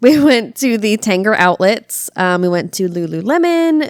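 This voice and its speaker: A woman with an American accent speaks at a fairly slow pace and a medium pitch. Her pitch swings very widely, and the sound is dry and close with no echo. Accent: slight Tennessee drawl creeping in. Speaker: podcast co-host. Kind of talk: casual chat. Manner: animated.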